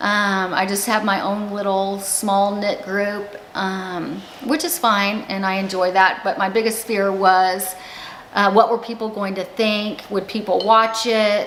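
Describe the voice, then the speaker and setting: Fairly slow speech with fairly even intonation, amid noticeable background noise and audible room echo. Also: woman, medium pitch for a woman. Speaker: YouTuber. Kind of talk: casual vlog talk. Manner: halting.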